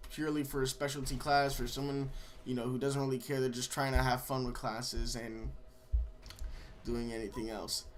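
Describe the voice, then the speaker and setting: Audible room echo around a man's fairly high voice. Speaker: gaming YouTuber. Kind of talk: gameplay commentary. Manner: halting, many fillers.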